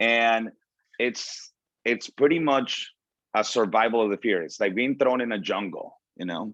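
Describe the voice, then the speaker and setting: With a Spanish accent, a man talks at a moderate pace in a fairly low pitch, with ordinary pitch variation. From Venezuela. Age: 30s. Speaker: motivational speaker. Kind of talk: motivational talk.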